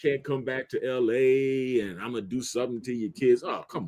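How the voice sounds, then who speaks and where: Here a man talks in a plain, everyday voice. His pitch is medium and his pace moderate. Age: 60s. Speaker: live stream panelist. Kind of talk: casual panel debate.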